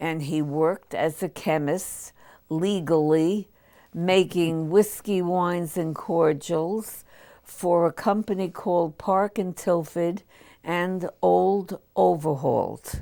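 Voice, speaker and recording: In an American accent, a woman speaks very slowly with a fairly low pitch and fairly even intonation. Her tone is dark and mellow, on a very clean recording with a silent background. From New York City. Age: 80s+. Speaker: war veteran. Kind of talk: oral history interview. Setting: studio.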